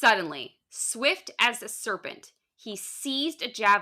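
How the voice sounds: A natural reading voice with ordinary pitch variation, recorded against a quiet background.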